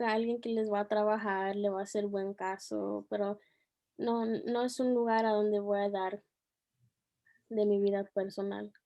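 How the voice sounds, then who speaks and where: This woman's pitch is fairly high and her intonation fairly even. She speaks at a fairly slow pace. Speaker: teacher. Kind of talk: interview. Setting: video call. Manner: soft-spoken; halting.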